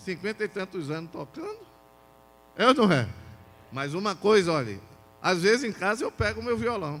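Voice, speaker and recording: A man speaks at a high pitch with very wide pitch swings. His pauses are long and frequent. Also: moderate pace. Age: 60s. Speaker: pastor. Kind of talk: sermon. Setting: church. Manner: animated.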